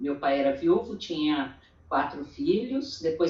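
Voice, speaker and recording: A woman speaks at a very slow pace in a somewhat breathy voice, her pitch swinging very widely. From Brazil, interior of São Paulo state. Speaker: church women's meeting speaker. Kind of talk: testimony.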